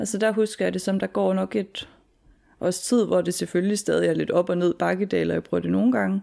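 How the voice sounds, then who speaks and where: The background is silent on this very clean recording. A woman talks fairly quickly. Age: 20s. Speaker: student and former heavy drinker. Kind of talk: personal testimony interview. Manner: halting.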